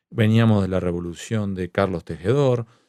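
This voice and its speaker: In a very clean recording with a silent background, a man with a dark, mellow tone speaks at a moderate pace. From Argentina, La Plata. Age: 40s. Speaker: journalist and novelist. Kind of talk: interview conversation.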